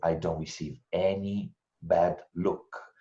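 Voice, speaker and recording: A man with an Italian accent speaks at a very slow pace in a dark, mellow tone. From Italy. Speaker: intercultural trainer and researcher. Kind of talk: webinar presentation answering questions.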